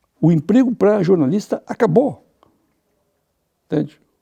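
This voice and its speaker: Speaking fairly slowly, a man with a dark, mellow tone lets his pitch swing very widely. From southern Brazil, Rio Grande do Sul (Santa Cruz). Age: 60s. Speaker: journalist. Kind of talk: interview. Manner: animated, conversational.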